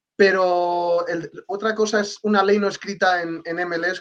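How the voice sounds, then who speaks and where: This man speaks with a Castilian accent. His intonation is fairly even. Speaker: sports journalist. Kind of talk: casual chat.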